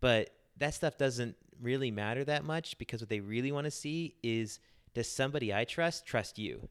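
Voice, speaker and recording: A man with an American accent talks in an ordinary speaking voice at medium pitch. His pitch variation is ordinary, and the recording is very clean, with a silent background. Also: moderate pace. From US South, Charlotte, North Carolina. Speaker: journalist turned professional. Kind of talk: interview.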